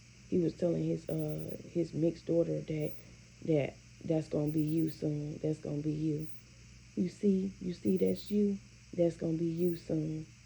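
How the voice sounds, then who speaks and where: Her voice is very deep and low, somewhat breathy and dark, mellow in tone, as a woman speaks at a fairly slow pace with ordinary pitch variation. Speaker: vlogger. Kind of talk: casual monologue vlog. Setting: at home, bedroom. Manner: halting.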